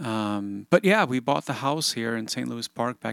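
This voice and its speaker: This is a very clean recording with a silent background, dry and close with no echo. The speaker keeps a moderate pace. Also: man. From Sweden. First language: Swedish. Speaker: guitarist and studio producer. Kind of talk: interview conversation. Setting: home recording studio.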